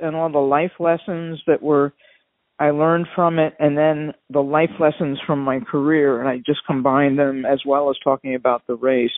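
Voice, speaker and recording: A woman with a Long Island accent speaks at a very deep, low pitch. Her pace is moderate and her intonation fairly even. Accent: Long Island New York. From New York, Long Island. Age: 70s. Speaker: doctor and ultra endurance athlete. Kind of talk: interview.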